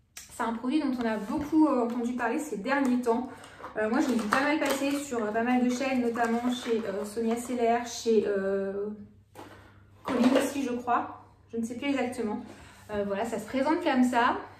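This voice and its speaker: Over noticeable background noise and audible room echo, a woman speaks at a moderate pace in a high voice with fairly even intonation. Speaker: beauty vlogger. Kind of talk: casual product haul vlog. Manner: hesitant, many fillers.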